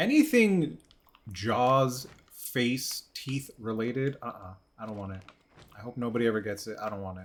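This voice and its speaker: A man speaks at a medium pitch and a moderate pace, in a relaxed tone with ordinary pitch variation. His loudness swings widely. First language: not English. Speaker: gaming streamer. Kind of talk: casual live-stream chat. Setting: live stream. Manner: relaxed, chill.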